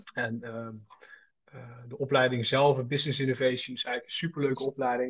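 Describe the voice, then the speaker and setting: Somewhat breathy, a man speaks at a fairly quick pace with fairly even intonation and big swings in loudness. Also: medium pitch for a man. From North Brabant, Netherlands (Schaijk). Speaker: student entrepreneur. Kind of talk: casual interview.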